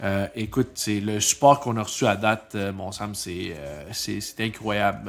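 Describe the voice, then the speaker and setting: This man speaks at a moderate pace with a non-native accent. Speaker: podcast co-host. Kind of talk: casual chat.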